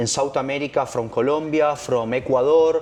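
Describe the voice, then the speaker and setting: A man with a Spanish accent, medium in pitch, with fairly even intonation at a moderate pace. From Argentina. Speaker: freediving instructor. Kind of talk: interview. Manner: halting.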